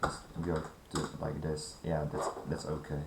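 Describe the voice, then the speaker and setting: With audible room echo, a man speaks at a moderate pace in a very deep, low voice. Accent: non-native. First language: not English. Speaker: gaming tutorial creator. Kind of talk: tutorial. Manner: halting.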